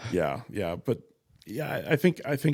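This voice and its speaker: A man with an American accent at a moderate pace. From Arizona. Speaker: firearms instructor. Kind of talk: casual chat. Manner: halting.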